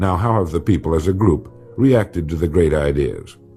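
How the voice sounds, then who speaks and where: A man with an American accent at a moderate pace, with music in the background. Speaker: motivational speaker. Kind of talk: motivational speech / recorded lecture.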